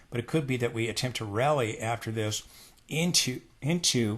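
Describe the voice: In a put-on character voice, a man sounds croaky and raspy at a medium pitch, with ordinary pitch variation, a moderate pace and a quiet background.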